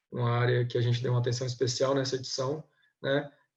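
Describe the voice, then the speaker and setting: Somewhat breathy, this speech keeps a monotone, flat intonation. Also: man. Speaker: government compliance auditor. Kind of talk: webinar presentation. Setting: online webinar. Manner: hesitant, many filler sounds.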